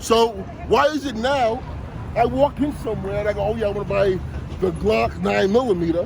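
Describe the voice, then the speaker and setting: A man speaks in a New York accent at a fairly quick pace, with long, frequent pauses. Noticeable background noise runs underneath. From Brooklyn, New York (Bushwick/Williamsburg). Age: 50s. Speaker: passerby interviewed on the street. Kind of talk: street interview, heated political talk. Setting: outdoors on a city street. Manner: animated, talks over the interviewer.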